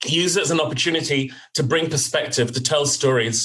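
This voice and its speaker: A man talks at a very fast pace. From West London, England. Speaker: corporate talent executive. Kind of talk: interview conversation. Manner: reflective, with fillers.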